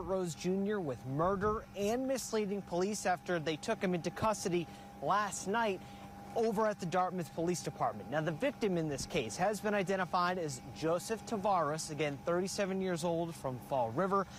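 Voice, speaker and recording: Light noise sits in the background. The sound is dry, with no echo. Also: man, high pitch for a man, ordinary pitch variation, moderate pace. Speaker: TV news reporter. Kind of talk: live field news report. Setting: outdoors. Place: street.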